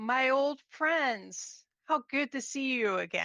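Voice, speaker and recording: A woman puts on a character voice, pitched high. She speaks at a very slow pace. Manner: warm, gentle.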